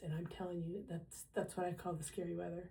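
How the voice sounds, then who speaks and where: This woman has a fairly low pitch and a dark, mellow tone. Vocal fry runs through her speech. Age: 70s. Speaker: retired teacher. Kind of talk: casual talk to camera.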